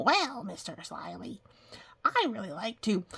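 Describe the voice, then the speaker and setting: A put-on character voice, fairly high-pitched, at a fairly slow pace. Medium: read story. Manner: polite, earnest.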